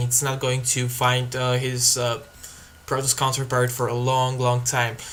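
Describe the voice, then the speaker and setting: Over noticeable background noise, a man with a Bulgarian accent speaks at a fairly slow pace. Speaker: video game commentator. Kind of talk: live game commentary. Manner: hesitant, many fillers.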